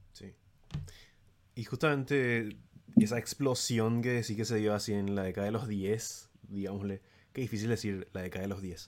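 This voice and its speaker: A man with a Paraguayan accent speaks in a fairly low pitch. His intonation is fairly even, and he pauses long and often. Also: moderate pace. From Paraguay, San Lorenzo. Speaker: music YouTuber. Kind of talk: casual chat.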